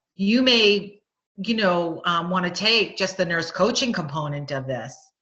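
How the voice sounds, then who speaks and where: A medium-pitched woman with a Long Island accent, a fairly slow pace and lively intonation. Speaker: nurse coaching instructor. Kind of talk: webinar Q&A.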